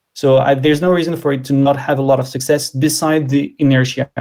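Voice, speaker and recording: A man with a French accent speaks in a dark, mellow tone with monotone, flat intonation. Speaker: tech speaker. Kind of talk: Q&A interview. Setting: online live stream.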